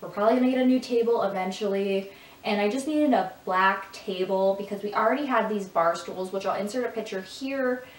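A woman with an American accent at medium pitch, ordinary pitch variation and a fairly quick pace, with audible room echo. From Michigan. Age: 20s. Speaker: lifestyle YouTuber. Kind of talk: casual talk to camera. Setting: echoey room. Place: home room.

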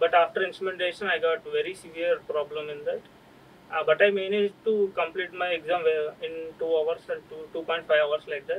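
A man speaks at a fairly quick pace in a high-pitched voice with monotone, flat intonation. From Andhra Pradesh, India. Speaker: exam topper, engineering graduate; interviewee. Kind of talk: interview. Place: studio.

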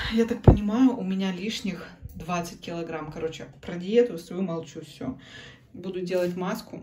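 This woman talks at a fairly slow pace and a medium pitch, with ordinary pitch variation. Her loudness swings widely, and noticeable background noise sits behind her. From Yakutsk, Russia; Russia. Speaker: vlogger and mother; vlogger. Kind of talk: casual vlog talk to camera. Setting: at home, bathroom. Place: home room. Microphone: phone near.

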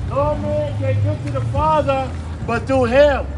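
A man with an American accent at a fairly slow pace, with noticeable background noise. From East Coast, USA. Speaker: visiting street preacher. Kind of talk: open-air street preaching. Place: street. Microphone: camera far.

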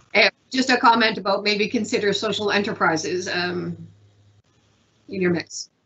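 A woman's medium-pitched voice with a fairly bright tone, a slightly husky edge, fairly even intonation and a moderate pace

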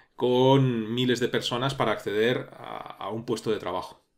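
On a very clean recording with a silent background, a plain, everyday voice speaks at a moderate pace. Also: man. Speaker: programming course youtuber. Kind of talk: tutorial-style commentary monologue.

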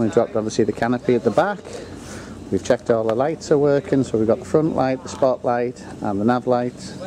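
There is light background noise as a man talks at a moderate pace. His pitch variation is ordinary. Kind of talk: casual vlog chat. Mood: upbeat, a little excited. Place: waterside. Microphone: phone near.

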